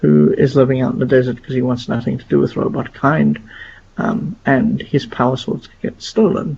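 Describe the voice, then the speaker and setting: A man speaks quietly at a moderate pace amid noticeable background noise. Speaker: gaming podcast host. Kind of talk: casual podcast discussion. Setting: at home, live stream. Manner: quiet, hushed.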